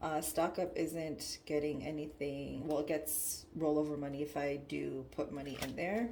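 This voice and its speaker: Through audible room echo, a woman with a very deep, low pitch speaks at a moderate pace with hardly any pauses and fairly even intonation. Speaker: budgeting YouTuber. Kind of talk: casual tutorial. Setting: away from usual desk setup, others nearby.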